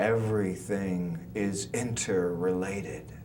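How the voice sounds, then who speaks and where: Noticeable noise can be heard in the background as a man talks. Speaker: spoken word artist. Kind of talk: poetry reading.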